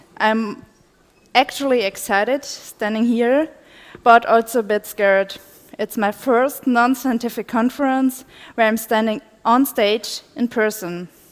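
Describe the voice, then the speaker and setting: A woman's fairly high voice, fairly slow in pace, with fairly even intonation. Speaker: conference speaker, PhD researcher. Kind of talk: conference talk. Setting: stage with audience.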